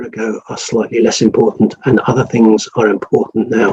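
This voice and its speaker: Fairly quick speech in an English accent with a dark, mellow tone. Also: man. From England. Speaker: rural doctor. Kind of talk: interview. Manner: halting, many repeated words.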